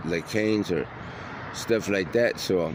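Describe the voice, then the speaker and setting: With an American accent, a man speaks at a moderate pace and fairly low pitch, with ordinary pitch variation and noticeable background noise. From Detroit. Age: 60s. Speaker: unhoused man interviewed. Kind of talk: casual interview.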